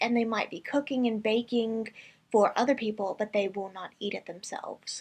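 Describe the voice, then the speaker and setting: A woman speaks at a moderate pace in a fairly high pitch, with a normal speaking voice. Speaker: vegan reaction commentator. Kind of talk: reaction commentary.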